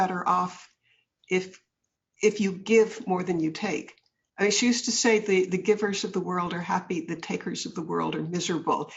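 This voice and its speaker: At a fairly quick pace, a woman with an American accent speaks at a medium pitch, somewhat breathy, with fairly even intonation. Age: 70s. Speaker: author and businesswoman. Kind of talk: interview.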